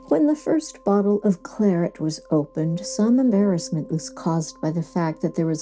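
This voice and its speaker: Music plays in the background as a woman speaks in a gentle, soothing tone. Her pitch is fairly low and her pace moderate. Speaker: audiobook narrator. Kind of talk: sleep story, classic literature reading. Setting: studio, with quiet background music. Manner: gentle, soothing, calm.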